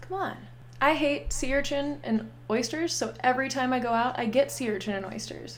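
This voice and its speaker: Speaking at a moderate pace with an American accent, a woman is heard through audible room echo and noticeable background noise. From Pittsburgh, Pennsylvania. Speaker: improv comedian. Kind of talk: casual chat.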